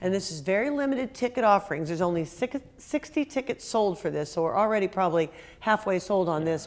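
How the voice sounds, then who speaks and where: Lively intonation carries speech at a fairly quick pace. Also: woman. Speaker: museum executive director. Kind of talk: interview. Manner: fast.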